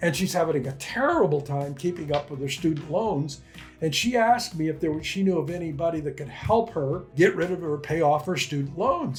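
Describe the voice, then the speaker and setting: With music in the background, a man talks at a fairly quick pace with hardly any pauses, in a fairly high pitch with ordinary pitch variation. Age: 80s+. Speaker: retired entrepreneur, online income coach. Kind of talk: casual talk to camera. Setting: coffee shop. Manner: conversational, with fillers and repeats.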